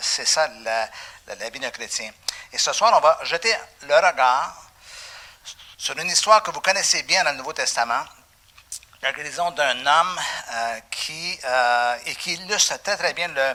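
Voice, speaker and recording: A man's high-pitched voice at a fairly slow pace, with lively intonation, big swings in loudness, and long, frequent pauses. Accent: Quebec. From Quebec. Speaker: pastor. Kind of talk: sermon. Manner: animated.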